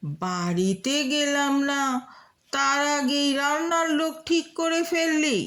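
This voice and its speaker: A woman performs a put-on character voice at a high pitch. She delivers it at a very slow pace. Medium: read story.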